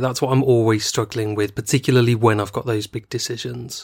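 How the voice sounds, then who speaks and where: In an unremarkable speaking voice, a man talks with medium pitch and fairly even intonation. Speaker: true crime podcast host. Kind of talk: casual chat.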